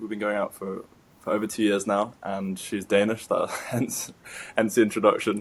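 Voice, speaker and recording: A man speaks at a medium pitch. He has a London accent. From London, England. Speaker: podcast host. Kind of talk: casual interview chat.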